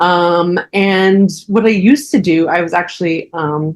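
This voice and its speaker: A woman has an ordinary speaking voice and an American accent. The recording is very clean, with a silent background. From New Jersey. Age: 40s. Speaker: astrologer. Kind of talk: casual interview chat.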